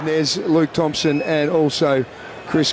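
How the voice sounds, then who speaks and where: A fairly high-pitched man with an Australian accent at a moderate pace, with noticeable background noise. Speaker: sports commentator. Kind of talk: live sports commentary.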